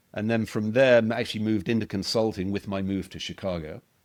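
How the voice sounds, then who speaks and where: A man speaks with a British accent. His intonation stays fairly even on a very clean recording with a silent background. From United Kingdom. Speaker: management consultant, former army officer. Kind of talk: casual interview conversation.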